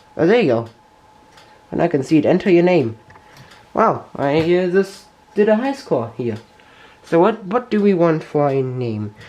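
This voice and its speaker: A man with a German accent speaks at a moderate pace with long, frequent pauses. His pitch is high and swings very widely. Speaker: tech YouTuber. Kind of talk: tutorial. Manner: halting.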